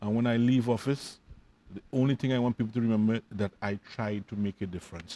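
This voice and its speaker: With a dark, mellow tone and medium pitch, a man speaks at a fairly quick pace. The sound is dry and close, with no echo. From Trinidad and Tobago. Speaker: football association president. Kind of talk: interview. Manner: loud; animated.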